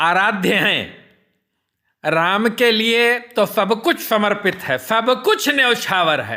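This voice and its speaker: The voice has a bright, sharp tone. It is raised and projected. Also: man. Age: 60s. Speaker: social commentator. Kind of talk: personal monologue on politics and devotion. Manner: formal.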